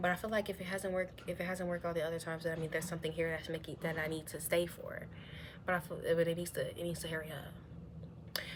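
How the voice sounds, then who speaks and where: A woman speaks very fast in a fairly low, somewhat breathy voice. Her intonation is monotone and flat. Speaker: vlogger sharing personal story. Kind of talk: confessional vlog monologue. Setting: at home. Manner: halting, hesitant with many fillers.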